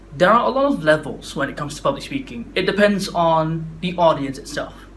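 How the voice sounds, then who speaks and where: Noticeable background noise and audible room echo accompany a man whose voice is fairly high-pitched. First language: not English. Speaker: public speaking vlogger. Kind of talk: casual talk to camera. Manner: halting, stuttery.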